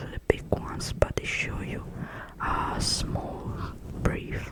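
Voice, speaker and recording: Whispering in a soothing tone at a very slow pace, the speaker is heard over noticeable background noise. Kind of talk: ASMR comfort talk. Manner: whispered; soft-spoken, soothing.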